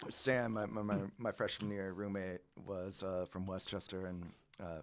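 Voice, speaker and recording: Speaking in a Californian accent, a man has a very deep, low pitch. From California, Central Coast. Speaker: winery owner. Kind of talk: casual chat. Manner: animated.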